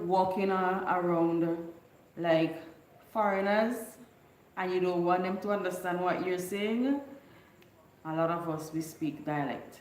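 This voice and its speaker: A woman talks at a very slow pace and a medium pitch, with fairly even intonation. Audible room echo and noticeable background noise fill the recording. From Bequia, St Vincent and the Grenadines. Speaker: YouTuber. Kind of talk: casual live stream chat.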